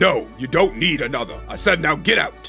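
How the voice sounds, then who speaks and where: A man's gruff, put-on character voice at a moderate pace over clear music in the background. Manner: firm, dismissive.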